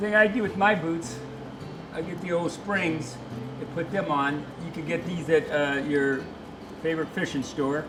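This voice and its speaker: A man's fairly high voice at a moderate pace, ordinary pitch variation, long, frequent pauses, audible room echo, and music in the background. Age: 70s. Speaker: outdoors show host. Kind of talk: outdoor how-to demonstration. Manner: halting, many fillers.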